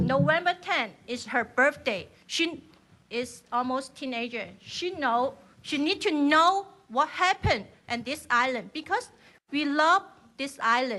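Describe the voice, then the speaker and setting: A woman speaks at a fairly slow pace with a Chinese accent, her high voice raised and projected, bright and sharp in tone, with lively intonation. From China. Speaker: member of the public testifying. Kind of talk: public testimony. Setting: legislative hearing. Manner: halting.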